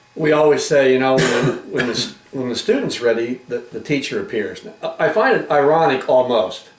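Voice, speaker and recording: With hardly any pauses, a man speaks at a moderate pace over noticeable background noise. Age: 60s. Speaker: talk show host. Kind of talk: interview.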